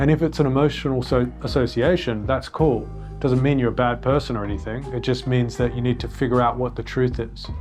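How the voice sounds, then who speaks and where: Music plays behind this man. He talks at a fairly quick pace. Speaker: entrepreneur and business vlogger. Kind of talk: casual advice talk.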